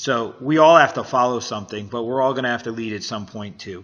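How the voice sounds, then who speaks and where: Speaking at a fairly quick pace, the man has a medium pitch. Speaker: business coach and vlogger. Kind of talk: motivational monologue. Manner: halting.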